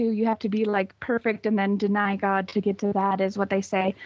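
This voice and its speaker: A woman with an American accent at a fairly quick pace, very even in loudness, in a dry, close sound with no echo. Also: hardly any pauses. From US West (Utah). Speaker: caller. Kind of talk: casual chat. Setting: video call.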